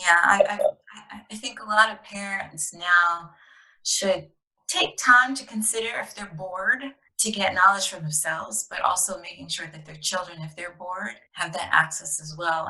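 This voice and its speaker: A woman's bright, sharp tone with big swings in loudness. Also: medium pitch for a woman, ordinary pitch variation, moderate pace. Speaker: podcast host. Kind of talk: interview questions.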